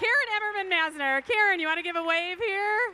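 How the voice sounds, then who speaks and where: Over crowd noise in the background, a woman speaks at an extremely high pitch. Her voice is raised and projected. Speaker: fundraising auctioneer. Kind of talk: live paddle-raise fundraising appeal. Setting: stage at live event with audience, livestreamed. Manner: loud; animated.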